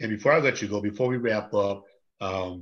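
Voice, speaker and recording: This man has an unremarkable speaking voice with a fairly low pitch and fairly even intonation. He talks at a moderate pace with an American accent. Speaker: talk show host. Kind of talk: interview, casual chat. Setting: Facebook Live video. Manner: friendly, conversational.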